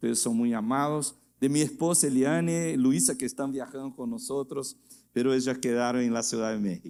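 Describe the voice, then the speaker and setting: A man speaks in a dark, mellow tone with a Portuguese accent. His pitch varies an ordinary amount. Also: medium pitch for a man, moderate pace. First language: Portuguese (speaking Spanish). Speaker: guest pastor. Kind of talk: sermon. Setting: church. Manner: halting.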